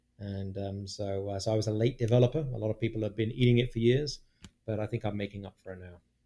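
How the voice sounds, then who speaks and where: In a very clean recording with a silent background, a man with a British accent and a dark, mellow tone speaks at a very fast pace with fairly even intonation and big swings in loudness. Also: fairly low pitch for a man. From England (London). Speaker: guest, British immigrant. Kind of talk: casual chat.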